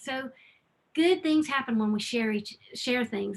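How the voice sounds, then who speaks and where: With an Alabama accent, a woman speaks in a bright, sharp tone and lively intonation. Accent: Southern US (Alabama). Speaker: nonprofit respite program founder. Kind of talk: webinar presentation. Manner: animated.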